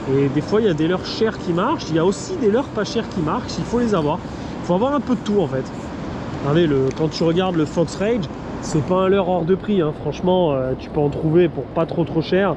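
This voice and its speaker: Fairly quick and animated, a man speaks in a high voice over noticeable background noise. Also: lively intonation. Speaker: fishing youtuber. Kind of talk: casual vlog tutorial. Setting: outdoors by a river lock. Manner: animated, informal.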